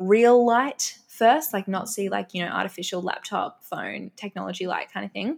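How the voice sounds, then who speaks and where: In a very clean recording with a silent background, a woman speaks at a medium pitch. She has an Australian accent. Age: 20s. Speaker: health and fitness influencer. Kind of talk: interview. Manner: animated.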